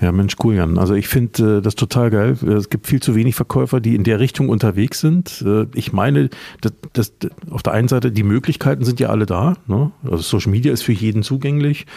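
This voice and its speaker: With vocal fry and a dark, mellow tone, a man talks at a fairly quick pace and a medium pitch, his intonation lively and his loudness very even, in a dry, close sound with no echo. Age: 50s. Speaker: podcast host, former marketing lecturer. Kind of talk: interview. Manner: hesitant fillers.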